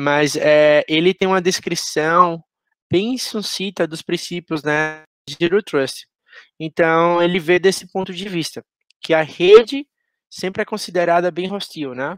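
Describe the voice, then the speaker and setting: A man's high-pitched voice in a Pernambuco accent, with big swings in loudness and ordinary pitch variation. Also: fairly slow pace, dry, close sound with no echo, very clean recording, silent background. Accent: Pernambuco Brazilian Portuguese. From Brazil, Pernambuco (Garanhuns, interior). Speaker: security professional, conference speaker. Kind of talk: conference talk. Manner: halting, many fillers.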